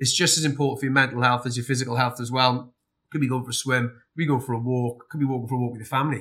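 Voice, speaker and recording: In a South Welsh accent, a man talks very fast at a medium pitch with a bright, sharp tone. His intonation is flat and monotone. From South Wales. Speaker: army veteran and fitness business owner. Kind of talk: interview. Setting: recorded in Scotland.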